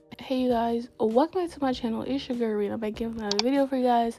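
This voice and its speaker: A woman rattles off her words very rapidly as music plays in the background. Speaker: gaming YouTuber. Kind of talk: casual tutorial vlog. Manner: lower, less excitable than usual.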